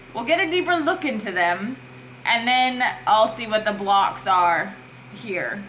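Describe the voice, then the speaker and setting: A fairly high-pitched woman's voice with very wide pitch swings at a fairly slow pace, amid noticeable background noise and audible room echo. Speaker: tarot reader. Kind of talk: tarot reading monologue. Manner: halting; animated.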